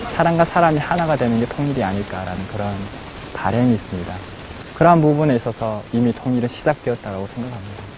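Against noticeable background noise, a man talks at a very fast pace with lively intonation and a medium pitch. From North Korea. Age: 20s. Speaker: North Korean defector, university student. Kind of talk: personal testimony.

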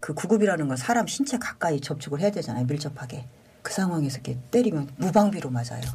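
A very deep, low female voice with very wide pitch swings and a very fast pace, over noticeable background noise. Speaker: paramedic station chief. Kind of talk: interview testimony.

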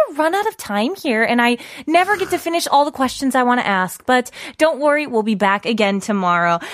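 A woman speaks at a moderate pace in a high voice with very wide pitch swings, recorded very cleanly against a silent background. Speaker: radio host. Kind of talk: casual chat. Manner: halting.

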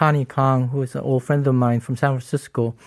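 In a very clean recording with a silent background, a man with an American accent speaks at a medium pitch with monotone, flat intonation, and the sound is dry and close with no echo. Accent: American English, Korean American. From US. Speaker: retired photojournalist. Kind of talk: interview. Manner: halting, with restarts.

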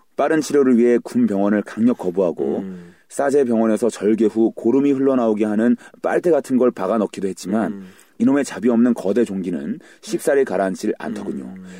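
Dark, mellow tone with lively intonation, in a dry, close recording free of echo. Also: man, medium pitch for a man. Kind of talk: casual banter podcast. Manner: animated, joking.

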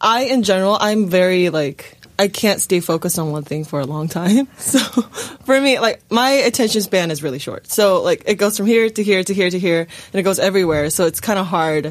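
At a fairly quick pace with hardly any pauses, an unremarkable speaking voice carries lively intonation. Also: woman, medium pitch for a woman. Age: 20s. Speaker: actor. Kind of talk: casual chat.

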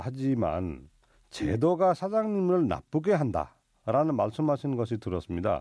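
A man with a Nepali accent, a dark, mellow tone and medium pitch, his pitch swinging very widely at a fairly slow pace, against a quiet background. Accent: Nepali-accented Korean. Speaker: radio host. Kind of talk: radio show hosting and interviews. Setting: studio.

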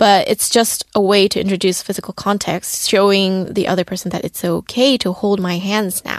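In a dry, close sound with no echo, a woman with a Korean accent talks at a moderate pace and medium pitch with fairly even intonation. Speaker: young Korean commentator. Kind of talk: radio segment chat.

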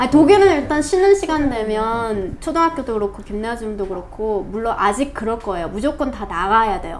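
At a moderate pace and with hardly any pauses, the voice moves with lively intonation. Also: woman, fairly high pitch for a woman. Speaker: podcast co-host. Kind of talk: reading aloud.

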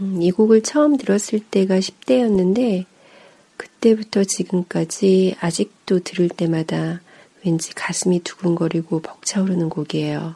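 A woman speaks at a fairly slow pace with a medium pitch and ordinary pitch variation, over noticeable background noise. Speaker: music radio host. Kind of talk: radio-style music program intro and commentary.

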